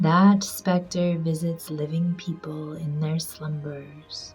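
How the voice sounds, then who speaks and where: A woman speaks at a fairly low pitch. Music plays in the background. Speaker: amateur reader. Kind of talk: audiobook reading.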